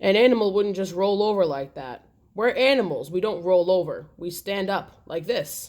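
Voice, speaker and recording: A woman uses a put-on character voice at a medium pitch. She speaks at a moderate pace. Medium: read story.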